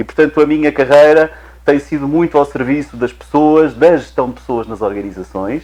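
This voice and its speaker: A man at a fairly high pitch, with ordinary pitch variation and a moderate pace. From Portugal. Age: 50s. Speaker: HR director and guest. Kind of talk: TV interview.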